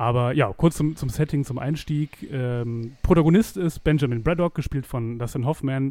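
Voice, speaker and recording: A man speaks at a moderate pace with hardly any pauses. His voice is fairly high in pitch, with a dark, mellow tone. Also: ordinary pitch variation. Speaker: film podcast co-host. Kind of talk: casual chat.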